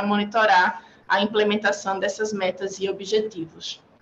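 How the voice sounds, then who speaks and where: With a Northeastern Brazilian accent, a woman speaks at a fairly high pitch. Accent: Northeastern Brazilian (Alagoas). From Brazil, Maceió (Alagoas, Northeast). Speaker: UN agency urban development officer. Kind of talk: panel presentation. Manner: formal.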